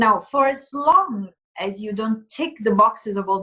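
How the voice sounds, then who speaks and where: A woman with a bright, sharp tone and lively intonation talks at a moderate pace. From Italy. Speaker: plant-based nutrition consultant. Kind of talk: interview.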